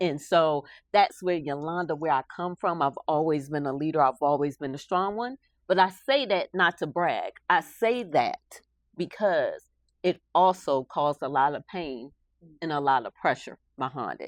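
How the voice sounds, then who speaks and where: With an American accent and a fairly low pitch, a woman speaks at a moderate pace with lively intonation, the sound dry and close with no echo over a quiet background. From Philadelphia, US. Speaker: army veteran and author. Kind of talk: interview. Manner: loud.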